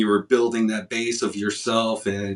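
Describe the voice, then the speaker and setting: Speaking at a moderate pace, a man with a Chicago accent has a bright, sharp tone. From Chicago area. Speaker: podcast host. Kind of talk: interview.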